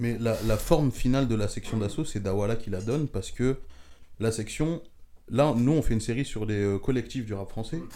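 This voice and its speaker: A man speaks at a moderate pace in a medium pitch with a dark, mellow tone and ordinary pitch variation. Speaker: podcast panelist. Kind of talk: casual chat.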